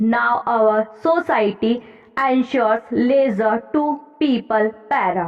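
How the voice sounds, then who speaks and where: A woman with a fairly high pitch talks at a very slow pace over noticeable background noise. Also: ordinary pitch variation. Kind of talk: trial passage dictation, essay on leisure. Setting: exam hall dictation. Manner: slow, clear, steady pace.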